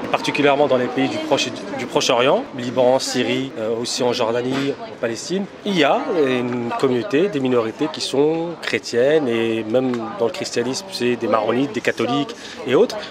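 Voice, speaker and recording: A man talks at a fairly quick pace with ordinary pitch variation. The sound is dry with no echo, though background noise is noticeable. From Paris suburbs (Argenteuil); Paris. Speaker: lawyer and law lecturer; lawyer, law lecturer. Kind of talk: casual chat. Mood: calm explanatory.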